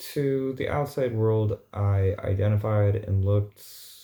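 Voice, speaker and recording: A man speaks at a very slow pace with a fairly low pitch and a dark, mellow tone. His voice is somewhat breathy, and the recording is very clean with a silent background. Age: 30s. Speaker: vlogger. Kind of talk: casual vlog monologue.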